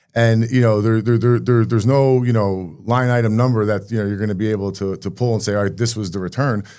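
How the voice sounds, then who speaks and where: On a very clean recording with a silent background, a man with a New Jersey accent and a fairly low voice of dark, mellow tone talks at a very fast pace with hardly any pauses and fairly even intonation. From Rahway, New Jersey. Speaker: mayor. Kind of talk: interview answer.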